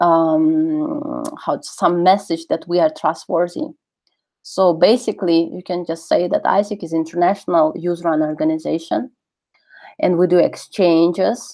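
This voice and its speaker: In a Russian accent, a woman speaks with a dark, mellow tone. Her pace is fairly slow, and the background is quiet. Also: ordinary pitch variation. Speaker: webinar speaker on networking. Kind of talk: webinar talk and Q&A. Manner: halting, many fillers.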